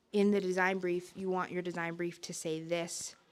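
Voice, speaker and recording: In a Canadian accent, a woman with a normal speaking voice talks at a moderate pace and a medium pitch. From Northern Ontario, Algoma. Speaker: community organizer. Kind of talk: community meeting Q&A. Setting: in-person public meeting.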